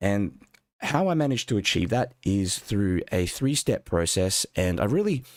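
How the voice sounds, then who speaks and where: Using lively intonation, a man with an Australian accent speaks at a fairly low pitch. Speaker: watercolour art teacher. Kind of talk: live-stream painting workshop. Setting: live stream. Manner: casual, conversational.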